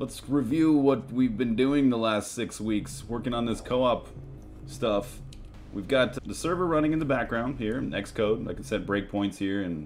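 A man with ordinary pitch variation talks fairly slowly while music plays behind him. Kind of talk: tutorial.

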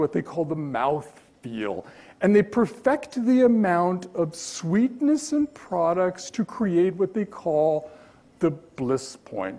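A man speaks very slowly in a dark, mellow tone. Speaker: keynote speaker, journalist. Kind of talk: keynote lecture. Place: hall.

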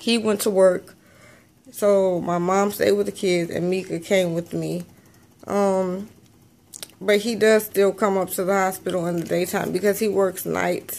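A woman speaks at a fairly slow pace in a tired tone. Her intonation is monotone and flat. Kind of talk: casual vlog chat. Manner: tired, weak hospital-bed voice. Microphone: phone near.

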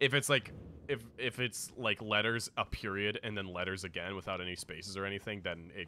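The text comes through in a natural reading voice.

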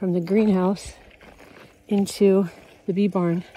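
The speech moves at a very slow pace. Light background noise sits under a dry sound with no echo. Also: woman. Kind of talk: casual podcast narration. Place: farm machine.

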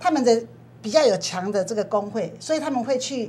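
A woman's somewhat breathy, fairly high-pitched voice with a dark, mellow tone. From Taiwan. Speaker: legislator; guest. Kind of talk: TV panel discussion. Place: studio. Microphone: lapel.

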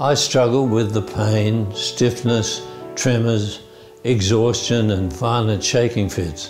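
With clear music in the background, a man speaks at a very slow pace with ordinary pitch variation. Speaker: Parkinson's patient. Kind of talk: testimonial to camera. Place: office. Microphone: lapel.

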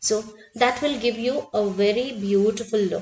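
A woman speaks in an Indian accent at a fairly slow pace. Her pitch is fairly high, with ordinary pitch variation. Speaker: art teacher. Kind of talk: tutorial.

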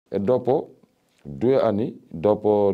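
You hear a man talking. The rise and fall of his pitch is ordinary. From Senegal, Dakar. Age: 50s. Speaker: street vendor. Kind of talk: interview testimony. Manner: halting.

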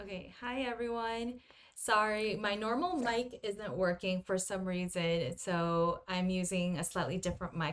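The background is quiet as a woman speaks. She talks at a fairly slow pace with ordinary pitch variation. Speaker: art livestream host. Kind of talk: casual livestream chat. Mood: cheerful, slightly flustered. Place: home room.

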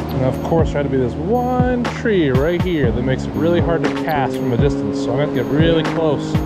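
Delivered at a fairly quick pace, the speech comes through dry with no echo against loud music in the background. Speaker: angler vlogger. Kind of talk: casual vlog chat. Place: waterside. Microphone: phone near.

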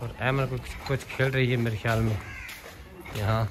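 Medium-pitched male voice at a moderate pace, fairly even intonation, faint background noise

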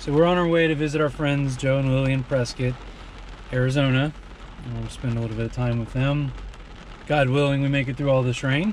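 A man with an American accent at a fairly quick pace, fairly even intonation, a dry sound with no echo, and light background noise. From California. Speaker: travel vlogger. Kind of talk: casual chat. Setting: in a car. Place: car. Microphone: camera far.

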